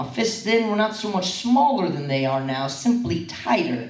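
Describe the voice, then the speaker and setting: A man talks with lively intonation. There is noticeable background noise behind him. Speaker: slam poet. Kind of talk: spoken word poetry performance.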